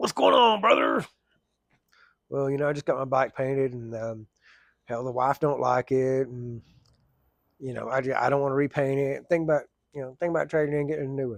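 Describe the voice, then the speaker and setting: A man with an Oklahoma accent speaks at a fairly quick pace in a medium pitch. His pitch varies in an ordinary way, and his pauses are long and frequent. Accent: southern US (Oklahoma). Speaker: firefighter and plumber vlogger. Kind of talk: casual storytelling vlog. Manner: fast.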